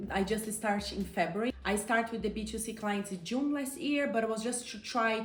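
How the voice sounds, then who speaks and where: With a Brazilian accent, a woman talks at a moderate pace in a fairly high pitch, amid audible room echo and noticeable background noise. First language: Portuguese. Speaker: coach and entrepreneur. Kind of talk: interview. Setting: outdoors on a terrace.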